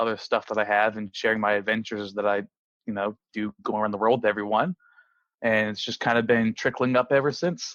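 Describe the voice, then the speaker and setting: The sound is dry and close, with no echo, over a quiet background. Speech comes at a fairly quick pace. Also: man. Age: 20s. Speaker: professional drone racing pilot and video creator. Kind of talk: podcast interview. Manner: halting, many fillers.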